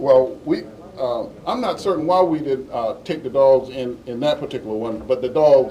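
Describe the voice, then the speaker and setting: Noticeable background noise behind a man speaking at a fairly slow pace. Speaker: law enforcement official answering reporters at a press conference. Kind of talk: press conference answer. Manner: hesitant, halting with many fillers.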